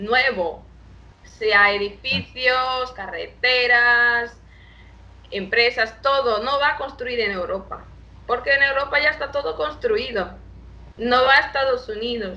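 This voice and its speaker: A woman's high voice with a Portuguese accent, at a very slow pace. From Brazil, Salvador de Bahia. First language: Portuguese (speaking Spanish). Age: 20s. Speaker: international relations professional. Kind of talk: interview. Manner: halting.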